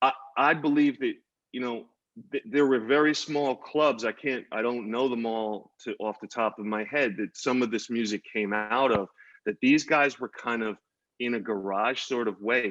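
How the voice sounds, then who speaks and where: A man with an American accent speaks at a moderate pace and medium pitch, his intonation fairly even, in a dry, close sound with no echo. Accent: New York accent, stronger when angry. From New York (Queens). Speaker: visual artist. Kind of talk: panel conversation. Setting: virtual conversation. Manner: halting with many false starts.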